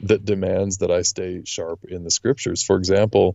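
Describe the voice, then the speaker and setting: A man is speaking with a Western US accent. His pace is moderate. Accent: American, western US. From Utah. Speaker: lawyer and podcast guest. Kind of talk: interview conversation.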